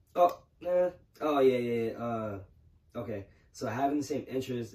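At a moderate pace, a man talks with lively intonation in a dark, mellow, somewhat breathy voice. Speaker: podcast co-host. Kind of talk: casual chat. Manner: halting.

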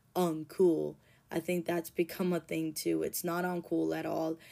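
A woman talks at a fairly slow pace in a fairly low pitch, her tone dark and mellow. The recording is very clean, with a silent background. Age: 30s. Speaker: podcast host, recovering addict. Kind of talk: personal monologue. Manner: conversational, rambling.

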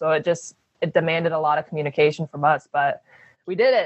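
A woman talks at a moderate pace with a fairly low pitch. It is an ordinary speaking voice. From US, Phoenix, Arizona. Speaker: professional basketball player. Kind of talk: interview.

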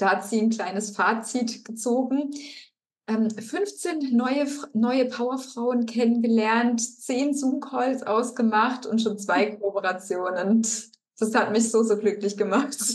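This woman speaks very slowly at a fairly high pitch, with ordinary pitch variation. Her loudness stays very even, and room echo is audible. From Baden-Württemberg, Germany (Rastatt). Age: 30s. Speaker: financial coach. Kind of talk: interview.

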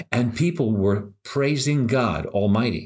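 A man with a medium pitch speaks with lively intonation, captured in a very clean recording against a silent background. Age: 60s. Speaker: podcast host; former healthcare worker. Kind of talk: casual monologue. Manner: animated.

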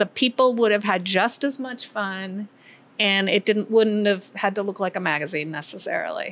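A woman with an American accent speaks in a plain, everyday voice at medium pitch. Her pace is moderate and her pitch variation ordinary. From US Midwest. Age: 50s. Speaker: winery co-founder. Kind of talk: interview conversation. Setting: pizza restaurant.

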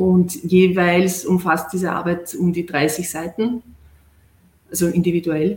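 Long, frequent pauses break up a woman's very slow speech, which has fairly even intonation and a fairly low pitch. Noticeable background noise runs underneath. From Austria, Vienna. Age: 40s. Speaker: distance-learning graduate, clinical research worker. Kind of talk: interview on a live stream.

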